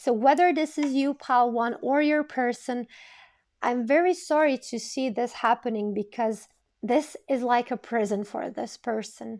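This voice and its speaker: Recorded very cleanly against a silent background, a woman with a high pitch speaks at a moderate pace with ordinary pitch variation. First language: not English. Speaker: tarot reader. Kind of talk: tarot reading monologue. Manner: occasional stuttering and false starts.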